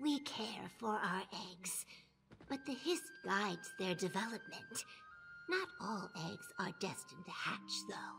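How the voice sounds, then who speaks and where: With music in the background, a woman uses a put-on character voice at medium pitch and a fairly slow pace. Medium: video game. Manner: chatty, eager.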